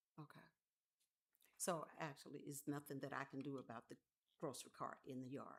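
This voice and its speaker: A woman with an American accent speaks at a very deep, low pitch in a monotone, flat intonation. She leaves long, frequent pauses. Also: fairly quick pace. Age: 60s. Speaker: resident speaking at council meeting. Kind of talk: public comment at council meeting. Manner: halting.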